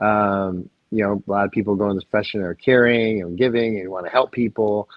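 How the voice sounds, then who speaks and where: In an American accent, a man talks at a fairly quick pace and fairly low pitch. It is a plain, everyday voice with ordinary pitch variation. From Michigan, US. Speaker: physician. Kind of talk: interview.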